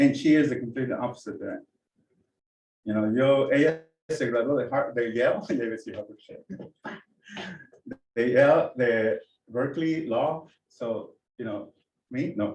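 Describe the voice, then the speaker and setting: A man in a mid-range register at a middling tempo, pausing long and often, pitch varying in a typical way. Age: 60s. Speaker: artist and mentor. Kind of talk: casual talk at community meeting. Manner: halting, code-switching.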